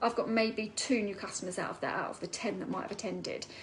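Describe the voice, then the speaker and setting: In an Essex accent, a woman speaks in an animated tone at a fairly high pitch with ordinary pitch variation. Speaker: network marketing seller. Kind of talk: live stream talk. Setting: online live video. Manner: fast.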